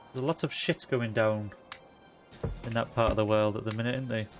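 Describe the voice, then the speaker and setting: A man with a Yorkshire accent over noticeable background noise. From Yorkshire, northern England. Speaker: video game streamer. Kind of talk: casual live-stream chat while gaming. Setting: live stream.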